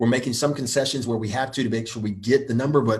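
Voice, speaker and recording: Energetic and somewhat breathy, a man speaks at a very fast pace in a medium pitch. The recording is very clean with a silent background. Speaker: real estate investment company executive hosting live Q&A. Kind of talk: live Q&A. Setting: livestream.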